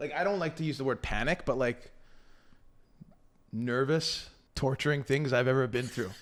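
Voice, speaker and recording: At a moderate pace and medium pitch, a man speaks in an animated tone with ordinary pitch variation and long, frequent pauses. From Canada. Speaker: professional baseball player. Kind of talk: casual chat.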